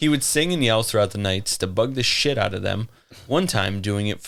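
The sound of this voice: The speaker uses an unforced reading voice. Pitch moves in a lively way.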